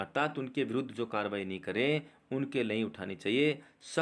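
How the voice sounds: What you hear is a natural reading voice.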